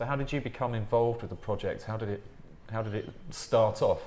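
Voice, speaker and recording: Man with an English accent. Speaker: podcast host. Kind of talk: interview conversation.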